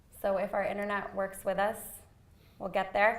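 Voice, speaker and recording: Audible room echo surrounds this woman's speech. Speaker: nonprofit marketing trainer. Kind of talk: workshop tutorial.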